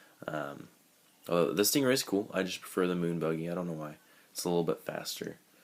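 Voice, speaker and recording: A man talks at a very fast pace with a very deep, low pitch. Long, frequent pauses break up his speech. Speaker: gaming vlogger. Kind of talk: casual talk to camera. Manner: halting, many filler ums.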